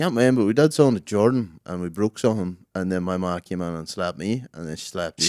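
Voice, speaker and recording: Over a very clean recording with a silent background, a man with a very deep, low pitch talks at a very fast pace with lively intonation, big swings in loudness, and hardly any pauses. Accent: Northern Irish. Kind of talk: casual, slangy, swears.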